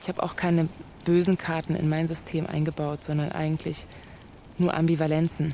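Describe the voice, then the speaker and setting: The delivery is fairly quick but broken by long, frequent pauses, with monotone, flat intonation. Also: woman, very deep, low pitch for a woman. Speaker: radio play author and game leader. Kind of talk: radio play conversation. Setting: studio. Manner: sudden shifts between loud and soft; erratic, jumpy delivery.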